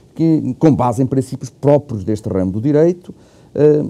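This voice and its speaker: Dark and mellow in tone, a man speaks at a moderate pace with medium pitch and ordinary pitch variation. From Portugal. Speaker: law professor. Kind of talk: interview. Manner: hesitant, many fillers; formal.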